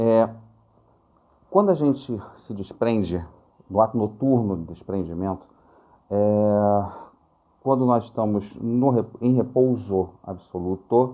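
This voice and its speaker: A man's fairly low, dark, mellow voice at a very slow pace, with ordinary pitch variation and long, frequent pauses. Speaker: spiritist lecturer. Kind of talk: lecture. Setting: recorded video.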